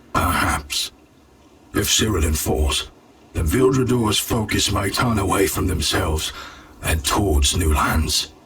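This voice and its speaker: A man's put-on character voice, fairly low in pitch and fairly slow in pace. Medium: video game. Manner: dry, grim.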